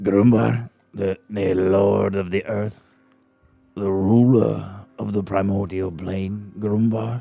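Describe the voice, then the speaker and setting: Over background music, a man uses a put-on character voice with a fairly low pitch. He speaks at a very slow pace. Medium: actual play. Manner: hesitant, stammering, soft-spoken.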